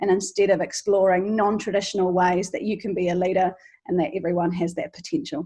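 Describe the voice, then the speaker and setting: With a New Zealand accent, a woman talks very fast at a medium pitch with ordinary pitch variation. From New Zealand, Canterbury. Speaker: charity founder and teacher. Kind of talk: interview podcast.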